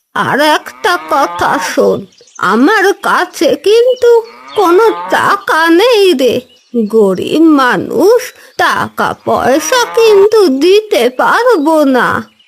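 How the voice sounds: Using a cartoonish character voice pitched extremely high, a woman speaks very slowly with very wide pitch swings.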